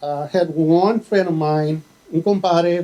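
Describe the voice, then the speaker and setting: In an American accent, a man speaks with a dark, mellow tone at a high pitch. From Texas, Laredo. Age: 60s. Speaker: fire marshal. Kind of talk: speech to students.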